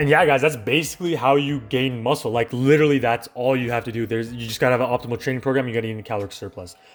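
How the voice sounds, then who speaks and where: Music plays in the background as a man with a Canadian accent talks at a very fast pace in a medium pitch. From Canada. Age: young. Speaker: fitness YouTuber. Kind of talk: casual talk to camera.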